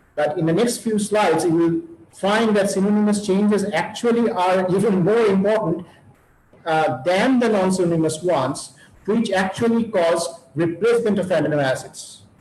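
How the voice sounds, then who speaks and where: Over noticeable background noise, a man speaks at a high pitch with very even loudness. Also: ordinary pitch variation, moderate pace. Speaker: university professor. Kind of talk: lecture. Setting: webinar. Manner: halting.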